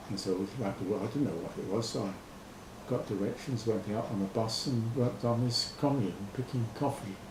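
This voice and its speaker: A man speaks at a moderate pace and a medium pitch. Noticeable background noise runs behind him. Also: ordinary pitch variation. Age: 70s. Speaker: farm volunteer. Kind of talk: interview answer.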